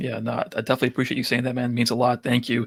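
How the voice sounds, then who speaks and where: A man with a strong New York accent speaks at a medium pitch with vocal fry. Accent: thick New York. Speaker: photo booth rental business owner. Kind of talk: podcast interview.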